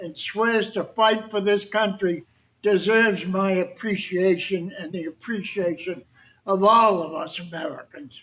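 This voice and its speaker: With a Boston accent, a man talks at a fairly slow pace with ordinary pitch variation. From Boston, Massachusetts (South Boston). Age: 80s+. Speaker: war veteran. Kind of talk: talk to an audience. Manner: conversational.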